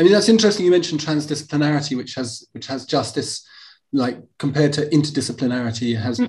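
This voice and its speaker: A man with a fairly high, somewhat breathy voice races along at a very fast pace, his intonation lively and his loudness swinging widely. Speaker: podcast host and architecture lecturer. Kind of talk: interview.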